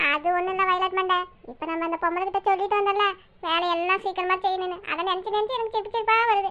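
This cartoonish character voice from a woman sits at an extremely high pitch. She talks at a fairly quick pace with fairly even intonation. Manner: teasing, chatty.

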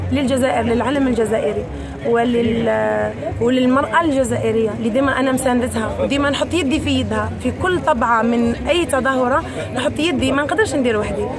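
Crowd noise fills the background as a woman speaks at a moderate pace. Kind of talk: interview answer. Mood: emotional, grateful and determined. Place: hall. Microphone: handheld.

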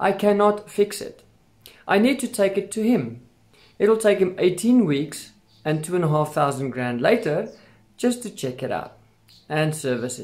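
Lively intonation from a man at a fairly slow pace against a quiet background. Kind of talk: casual vlog chat. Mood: annoyed but determined. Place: home room. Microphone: phone near.

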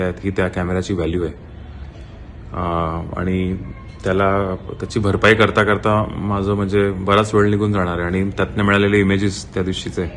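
A man's very deep, low voice moves with fairly even intonation. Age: 20s. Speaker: photographer, theft victim. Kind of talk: video statement. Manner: halting.

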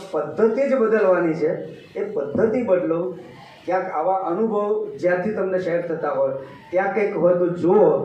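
Amid noticeable background noise and audible room echo, a man talks in a high pitch with ordinary pitch variation. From Gujarat. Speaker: retired economics professor and natural farmer. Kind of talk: talk to an audience.

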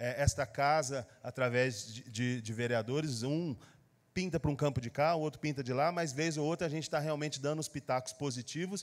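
A man's speech moves at a moderate pace, with ordinary pitch variation. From Brazil. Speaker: city councillor. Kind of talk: formal council speech. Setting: council chamber. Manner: formal, with frequent hesitations; forceful. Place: hall. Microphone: podium.

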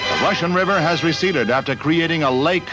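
Clear music plays in the background. Over it, a man talks in a fairly high voice with ordinary pitch variation. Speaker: newsreel narrator. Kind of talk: vintage newsreel narration. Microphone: old recording.

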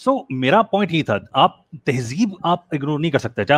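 Vocal fry in a man's voice, with very wide pitch swings. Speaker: caller. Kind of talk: animated argument in call-in chat. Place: home room. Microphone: headset.

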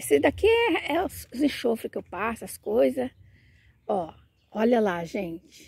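A woman's dark, mellow tone with very wide pitch swings, at a fairly slow pace in a dry sound with no echo. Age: 60s. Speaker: plant vlogger. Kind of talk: casual video tutorial. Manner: animated. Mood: warm, enthusiastic. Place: garden. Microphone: phone near.

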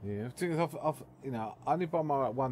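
The speaker goes at a very fast pace with lively intonation. The voice sounds somewhat breathy. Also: man. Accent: English. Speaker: streamer. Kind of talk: casual chat. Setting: live stream. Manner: calm.

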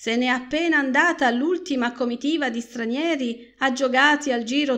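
A woman speaks in a high voice at a fairly slow pace. Her tone is dramatic and solemn, with ordinary pitch variation. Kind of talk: scripted narration, audiobook reading of a literary short story.

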